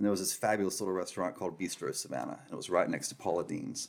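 A man talks with a Southern US accent. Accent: Southern US (Georgia). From rural Georgia, US South. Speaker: restaurant managing partner. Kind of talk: casual interview. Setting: studio.

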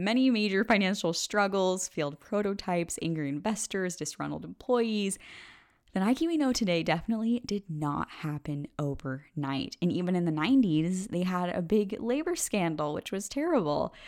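Recorded very cleanly against a silent background, a woman with a medium pitch talks at a moderate pace in an animated tone with lively intonation. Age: 20s. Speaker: podcast host. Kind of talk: solo podcast monologue.

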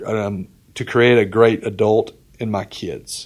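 A medium-pitched man with an Alabama accent. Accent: Southern US (Alabama). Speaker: entrepreneur, former college football coach. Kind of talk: casual interview.

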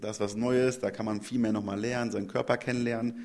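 This man speaks at a medium pitch. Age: 30s. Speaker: CrossFit trainer and gym owner. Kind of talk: interview. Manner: hesitant with filler sounds.

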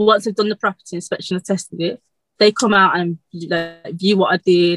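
A woman with a strong Birmingham accent, recorded dry and close with no echo. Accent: Birmingham (Brummie), very strong. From Birmingham, England. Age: 20s. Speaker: electrician apprentice. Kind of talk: casual interview chat. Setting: video call. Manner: fast talker.

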